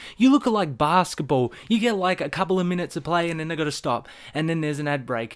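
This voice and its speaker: Animated and very fast, a man speaks with an Australian accent at a high pitch. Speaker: vlogger. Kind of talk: casual rant.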